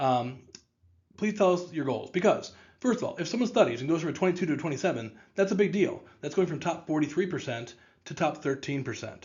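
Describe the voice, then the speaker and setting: Fairly quick and lively in intonation, a man with an American accent speaks at a fairly high pitch. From St. Louis, Missouri, US Midwest. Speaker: test prep tutor and company co-founder. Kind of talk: informational presentation to parents and students. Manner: fast; animated, extroverted.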